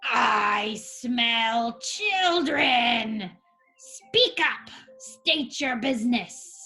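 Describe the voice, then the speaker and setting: A woman speaks in a put-on character voice that is raspy and gravelly, pitched high, at a very slow pace. Faint music plays in the background. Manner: menacing, commanding.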